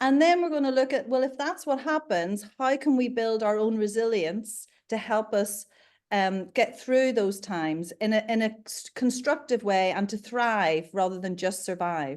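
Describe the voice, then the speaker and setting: A woman's lively intonation at a moderate pace, in a Northern Irish accent. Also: fairly high pitch for a woman, quiet background. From Northern Ireland, Belfast. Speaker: leadership consultant and coach. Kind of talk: interview.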